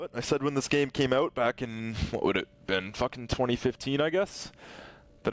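With a dry, close sound and no echo, a man talks at a moderate pace with ordinary pitch variation. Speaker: gaming streamer. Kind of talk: casual gameplay commentary.

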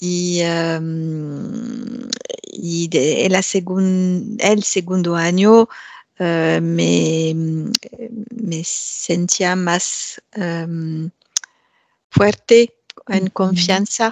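A woman's fairly low voice with a French accent, ordinary pitch variation, and a very slow pace. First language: French (speaking Spanish). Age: 50s. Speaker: Spanish language student. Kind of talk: interview. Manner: halting, many hesitations.

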